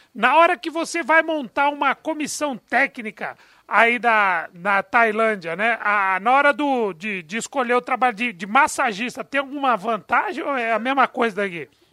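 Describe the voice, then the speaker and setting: With a raised, projected voice, a man talks at a moderate pace in an extremely high pitch, his tone bright and sharp, his intonation lively, with hardly any pauses, on a very clean recording with a silent background and a dry, close sound with no echo. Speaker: radio sports panelist. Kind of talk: radio interview.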